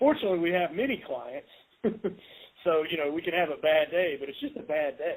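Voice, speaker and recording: With a Southern US accent, a man speaks in a high pitch at a fairly quick pace, his intonation lively and his pauses long and frequent. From US South. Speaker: podcast host, home inspector. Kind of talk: casual interview. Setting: podcast.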